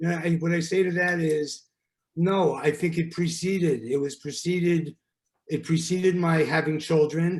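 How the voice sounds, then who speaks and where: A man talks in a New York accent at a moderate pace. His high-pitched voice stays monotone and flat. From New York, Brooklyn. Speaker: relationship therapist. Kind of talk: podcast interview. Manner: direct, forthright.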